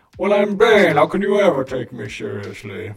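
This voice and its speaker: A man puts on a character voice at a fairly high pitch with very wide pitch swings. He keeps a moderate pace, with big swings in loudness. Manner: menacing, theatrical.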